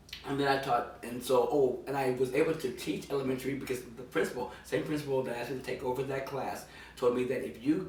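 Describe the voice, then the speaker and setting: A man speaks at a medium pitch, with noticeable background noise and audible room echo around him. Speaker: actor and teacher. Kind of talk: interview. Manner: animated storytelling.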